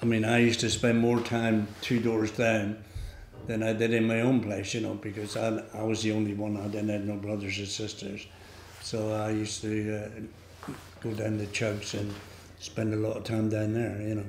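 A man speaks at a fairly low pitch with a Devon accent, at a moderate pace and with monotone, flat intonation. Light background noise and audible room echo surround his voice. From England, North Devon (Barnstaple). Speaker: local elder sharing memories. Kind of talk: oral history reminiscence. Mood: relaxed, fond reminiscing. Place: hall.

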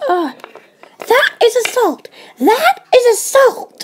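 This woman puts on a character voice, squeaky and extremely high in pitch. She speaks at a very slow pace. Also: lively intonation. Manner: outraged, shouting.

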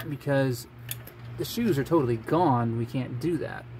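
Light background noise sits under speech delivered at a fairly slow pace. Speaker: diy car repair narrator. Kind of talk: tutorial. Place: garage. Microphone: phone near.

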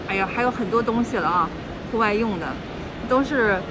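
A woman's voice shows ordinary pitch variation amid noticeable background noise. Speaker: travel vlogger. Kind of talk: casual vlog chat. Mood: cheerful, laughing at times. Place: station. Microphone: phone near.

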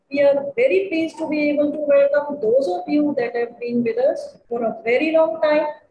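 Amid audible room echo and light background noise, a woman speaks at a moderate pace with a high pitch and ordinary pitch variation. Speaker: event host teacher. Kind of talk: formal welcome speech. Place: home room. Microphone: webcam.

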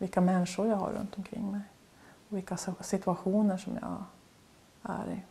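A woman talks at a moderate pace in a dark, mellow tone with vocal fry. Her intonation is monotone and flat, broken by long, frequent pauses. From Norrbotten, northern Sweden (near Kalix); Norrbotten, Sweden. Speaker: painter. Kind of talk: interview. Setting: artist's studio. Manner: halting. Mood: calm, reflective. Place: home room.

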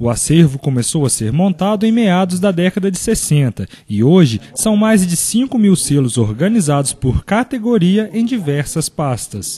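A man speaks at a moderate pace with hardly any pauses and a high pitch. His tone is dark and mellow, with very wide pitch swings. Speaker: TV news reporter. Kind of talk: TV news narration.

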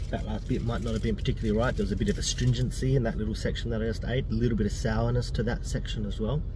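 A man talks at a very fast pace with hardly any pauses. Noticeable background noise surrounds the dry, echo-free sound. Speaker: food vlogger. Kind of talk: casual vlog chat. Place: car. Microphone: phone near.

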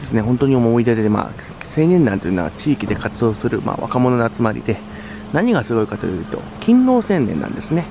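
A man speaks at a fairly quick pace in a dry sound with no echo, with noticeable background noise. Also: lively intonation. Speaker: youth association leader. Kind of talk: casual talk to camera. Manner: fast. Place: street. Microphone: phone near.

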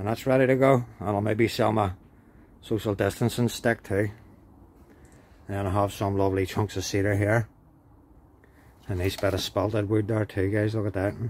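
A man at a moderate pace, fairly low in pitch, in a monotone, flat intonation with long, frequent pauses and light background noise. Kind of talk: casual vlog chat. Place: workshop. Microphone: phone near.

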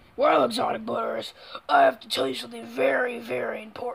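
Someone speaks in a put-on character voice at a fairly quick pace. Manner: sinister.

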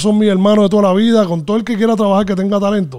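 A man speaks at a high pitch in a dark, mellow tone. The background is quiet. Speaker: music producer and mixing engineer; guest. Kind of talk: interview. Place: studio. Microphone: studio mic.

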